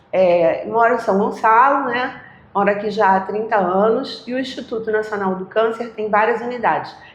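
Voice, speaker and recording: With audible room echo and noticeable background noise, a woman speaks at a moderate pace with a fairly high pitch and fairly even intonation. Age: 60s. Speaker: retired oncology nurse. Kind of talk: interview, personal storytelling.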